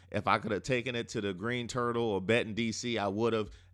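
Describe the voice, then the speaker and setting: A man with an American accent, fairly quick and animated, against a quiet background. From US Mid-Atlantic, Prince George's County, Maryland. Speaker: sports podcast host and comedian. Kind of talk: casual comedic monologue.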